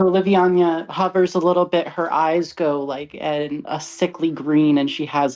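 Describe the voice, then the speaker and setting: A woman with a dark, mellow tone and a very deep, low pitch speaks at a fairly slow pace. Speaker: tabletop game player. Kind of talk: tabletop roleplaying game session. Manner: loud.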